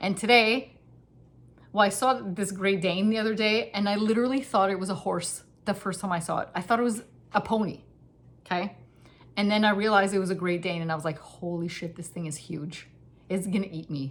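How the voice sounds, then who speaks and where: A woman with a medium pitch and ordinary pitch variation talks at a fairly quick pace, yet leaves long, frequent pauses. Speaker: knitting podcaster. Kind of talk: casual chat. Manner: fast.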